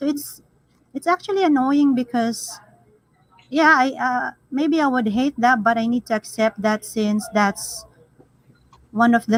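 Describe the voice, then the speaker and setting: With a Filipino accent, a woman speaks at a fairly slow pace in a fairly high voice, her intonation lively and her pauses long and frequent, the sound dry and close with no echo. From Philippines. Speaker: live stream panelist. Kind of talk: casual chat.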